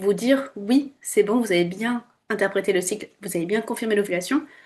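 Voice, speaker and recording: A woman with an unremarkable speaking voice, fairly high pitch, ordinary pitch variation and a moderate pace. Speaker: fertility awareness instructor. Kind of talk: tutorial. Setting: screen-share video.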